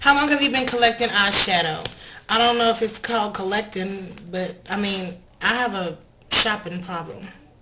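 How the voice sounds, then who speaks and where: Someone with an American accent talks at a fairly quick pace amid noticeable background noise. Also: woman. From Texas, Fort Worth. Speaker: makeup vlogger. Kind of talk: casual Q&A vlog. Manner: fast.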